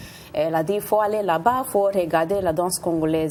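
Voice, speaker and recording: Over noticeable background noise, a woman talks at a fairly slow pace in a fairly low voice with ordinary pitch variation. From Puerto Rican, from New York. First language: Spanish or English (speaking French). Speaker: dancer and choreographer. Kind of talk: TV interview. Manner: halting, with hesitations.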